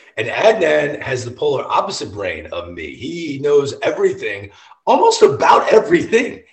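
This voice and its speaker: The voice has an American accent and an animated tone at a moderate pace. Noticeable background noise runs underneath. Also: man. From US Midwest (St. Louis). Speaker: baseball TV host. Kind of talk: casual chat. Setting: home basement.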